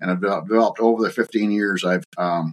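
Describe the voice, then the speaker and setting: Recorded dry and close with no echo, the voice has an Ontario accent and ordinary pitch variation. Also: man. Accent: Canadian (Ontario). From Ontario, Canada (Bobcaygeon). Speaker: farm succession author and consultant. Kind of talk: casual interview. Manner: halting, many fillers.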